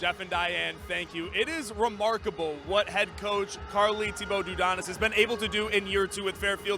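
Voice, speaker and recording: A man projects a raised, high-pitched voice at a moderate pace with hardly any pauses and fairly even intonation. Noticeable background noise is present. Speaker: sideline reporter. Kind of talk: sports broadcast sideline report.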